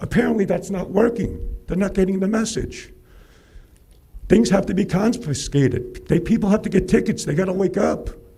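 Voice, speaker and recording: Amid noticeable background noise and audible room echo, a man talks at a fairly quick pace with a high pitch. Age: 60s. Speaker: public commenter. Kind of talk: public comment. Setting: city council meeting. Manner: animated.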